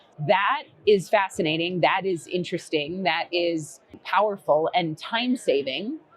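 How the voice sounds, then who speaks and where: A woman with an American accent, medium pitch, lively intonation and fairly slow pace, over noticeable background noise. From Boston. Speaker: recruitment technology executive. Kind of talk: podcast interview. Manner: casual, filler-heavy.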